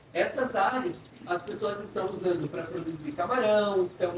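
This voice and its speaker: Woman at medium pitch and fairly slow pace, with very wide pitch swings, audible room echo and noticeable background noise. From Brazil, São Paulo. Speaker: wildlife rehabilitation guide. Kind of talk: guided tour talk. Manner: explanatory, asks audience questions.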